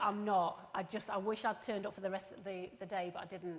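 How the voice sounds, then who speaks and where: Medium-pitched woman's voice in a Yorkshire accent at a fairly quick pace. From northern England. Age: 40s. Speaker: recruitment professional. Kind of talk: conference presentation. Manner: casual.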